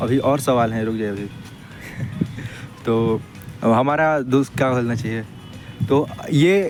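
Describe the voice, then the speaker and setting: With music in the background, a man speaks, his pitch varying in an ordinary way. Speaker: street interviewer. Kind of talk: casual street interview questions.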